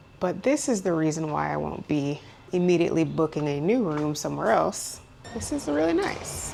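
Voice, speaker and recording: Noticeable background noise sits behind this woman. She talks at a moderate pace. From Jamaica. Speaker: travel vlogger. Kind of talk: vlog narration. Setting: walking around town.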